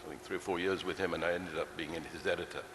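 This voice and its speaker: A man's voice amid noticeable background noise and audible room echo. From England, London (Ealing). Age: 70s. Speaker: film producer. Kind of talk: on-stage interview. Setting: stage with audience. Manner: hesitant, many fillers. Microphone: too far from the mic at first.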